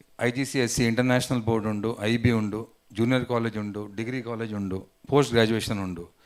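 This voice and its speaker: Fairly even intonation in a coastal Karnataka accent. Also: man. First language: Tulu (speaking Kannada). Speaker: community association president. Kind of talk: formal speech at business event. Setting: hotel event hall with audience.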